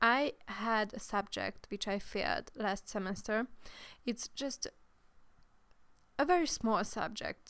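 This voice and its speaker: In a very clean recording with a silent background, a woman with a Hungarian accent speaks at a very slow pace with long, frequent pauses. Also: ordinary pitch variation. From Hungary. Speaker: gaming youtuber. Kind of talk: voiceover commentary. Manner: halting.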